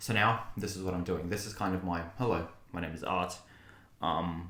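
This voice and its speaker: A man talks at a fairly quick pace. The room adds audible echo. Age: 20s. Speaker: content creator and English teacher. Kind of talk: personal vlog monologue. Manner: hesitant, filler-heavy.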